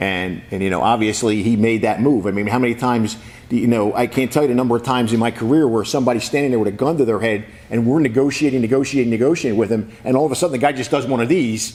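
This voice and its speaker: Very fast speech with ordinary pitch variation, audible room echo and noticeable background noise. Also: man, medium pitch for a man. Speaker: sheriff. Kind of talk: press conference. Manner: halting, repeats words.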